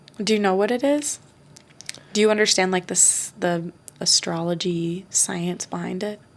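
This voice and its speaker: Noticeable background noise sits behind a woman's medium-pitched voice. She speaks at a moderate pace with ordinary pitch variation. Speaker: podcast co-host. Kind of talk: casual chat.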